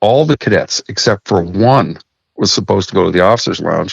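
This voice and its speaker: Against a quiet background, a man with an ordinary speaking voice and fairly low pitch talks at a fairly quick pace, the sound dry and close with no echo. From Saskatchewan, Canada. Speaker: master mariner. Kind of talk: interview storytelling.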